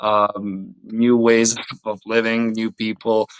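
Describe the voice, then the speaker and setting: A man with a Bosnian accent, recorded with a dry, close sound and no echo. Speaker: Olympic athlete. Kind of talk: interview. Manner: halting.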